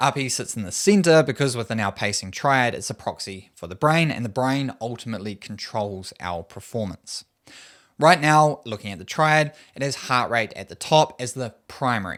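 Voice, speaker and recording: With a New Zealand accent, a man talks at a moderate pace in a medium pitch, his intonation lively and his loudness swinging widely, on a very clean recording with a silent background. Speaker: running coach. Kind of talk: tutorial.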